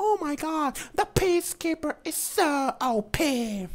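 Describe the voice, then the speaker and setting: In a put-on character voice, the speaker uses a high pitch at a fairly slow pace. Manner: whiny, complaining.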